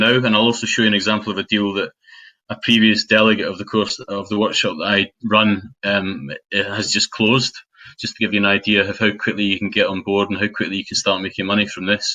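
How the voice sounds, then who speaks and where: A man with a Scottish accent speaks at a fairly quick pace and fairly low pitch, his intonation fairly even. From Scotland (Dunblane, Stirling area). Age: 40s. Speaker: property investor and trainer. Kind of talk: webinar presentation. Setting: online webinar. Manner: hesitant, many fillers.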